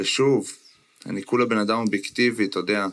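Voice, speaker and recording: Pitched at a medium level, a man talks at a fairly quick pace with ordinary pitch variation. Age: 30s. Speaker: former basketball player and podcast co-host. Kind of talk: casual chat. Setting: remote recording from a motel in California.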